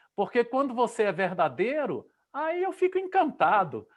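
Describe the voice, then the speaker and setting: Very wide pitch swings run through a man's fairly slow delivery. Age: 60s. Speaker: interviewer, journalist and musician. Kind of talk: live online interview.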